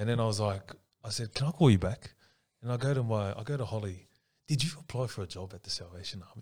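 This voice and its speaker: A man talks at a very fast pace in a medium pitch, somewhat breathy. His pitch variation is ordinary, while his loudness swings widely. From Sydney, Australia. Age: 30s. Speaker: social worker. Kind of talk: casual podcast interview.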